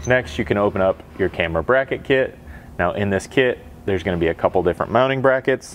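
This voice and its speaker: Over light background noise, a man speaks at a fairly quick pace. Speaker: installer demonstrating a product. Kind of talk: tutorial. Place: garage.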